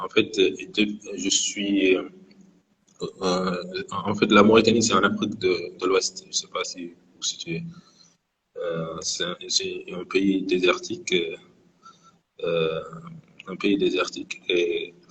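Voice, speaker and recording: A man at a very slow pace, big swings in loudness and long, frequent pauses. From Mauritania. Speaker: guest sharing his experience of depression. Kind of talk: live interview testimony. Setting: Instagram live. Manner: halting, many hesitations and repetitions.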